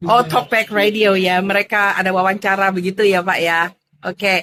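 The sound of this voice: Fairly even intonation paired with a fairly bright tone. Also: woman, medium pitch for a woman, moderate pace.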